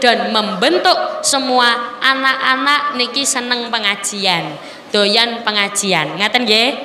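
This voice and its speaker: A woman's fairly high voice with ordinary pitch variation, audible room echo and noticeable background noise. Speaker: female Islamic preacher. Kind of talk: sermon.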